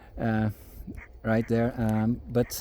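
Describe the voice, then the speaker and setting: A strong Brazilian accent over noticeable background noise. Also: man. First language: German and Portuguese. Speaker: farmer. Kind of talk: casual vlog talk. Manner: halting, many fillers.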